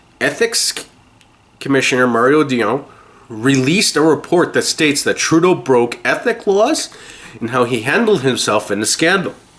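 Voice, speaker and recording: His pitch fairly high, a man speaks with very wide pitch swings. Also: moderate pace. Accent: Canadian. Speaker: political podcast host. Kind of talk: news commentary podcast. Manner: lozenge clacking in mouth.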